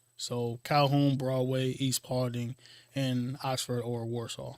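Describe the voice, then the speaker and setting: The delivery is monotone with flat intonation, on a very clean recording with a silent background. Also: man. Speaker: health clinic outreach program manager. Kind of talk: interview. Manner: halting, many fillers.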